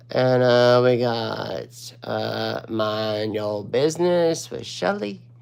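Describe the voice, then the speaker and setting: Room echo is audible as a man talks very slowly. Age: 40s. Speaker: watercolor painting instructor. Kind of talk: live-stream painting tutorial.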